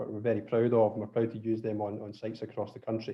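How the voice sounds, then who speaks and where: A man speaks in a Scottish accent. His pace is very fast. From Scotland. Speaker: drilling contractor presenting webinar. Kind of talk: webinar presentation. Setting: online webinar. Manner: hesitant, many fillers and restarts.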